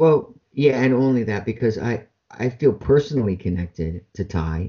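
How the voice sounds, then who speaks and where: A man's somewhat breathy voice with a General American accent and lively intonation. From Ohio, US Midwest. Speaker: voice actor and mentalist. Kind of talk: interview.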